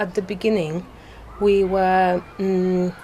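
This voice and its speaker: A woman talks with a fairly low pitch and flat, monotone intonation. Noticeable background noise can be heard. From Poland. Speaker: community organizer, garden volunteer. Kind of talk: interview.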